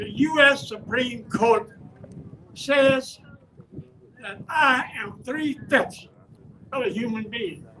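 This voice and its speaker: A man with an extremely high pitch and a bright, sharp tone uses a raised, projected voice with ordinary pitch variation. His pace is very slow, with long, frequent pauses and big swings in loudness. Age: 80s+. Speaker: community elder speaking at a rally. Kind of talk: rally speech.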